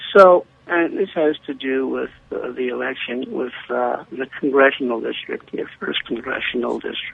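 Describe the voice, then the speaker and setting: At a moderate pace, a man speaks with noticeable background noise. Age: old. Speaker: caller. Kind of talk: call-in radio talk. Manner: halting.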